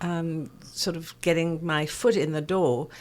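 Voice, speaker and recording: In a very clean recording with a silent background, a woman with a South African accent speaks at a very deep, low pitch with fairly even intonation. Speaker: perfumer. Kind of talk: interview.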